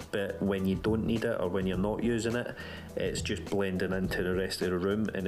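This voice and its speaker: With music in the background and audible room echo, a man in a Scottish accent talks in a flat monotone at a fairly low pitch, his loudness very even. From Scotland. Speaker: tech reviewer. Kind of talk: product review.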